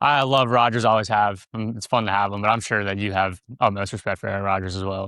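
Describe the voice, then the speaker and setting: This man talks very fast with hardly any pauses, his fairly low-pitched voice bright and sharp in a dry, close recording with no echo. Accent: Kentucky. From Pittsburgh, Pennsylvania. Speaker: podcast guest, racing fan. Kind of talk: casual chat. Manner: animated.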